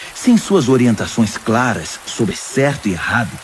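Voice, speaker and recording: A man speaks at a moderate pace with very wide pitch swings over noticeable background noise. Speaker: voice actor; pastor. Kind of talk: audio Bible reading.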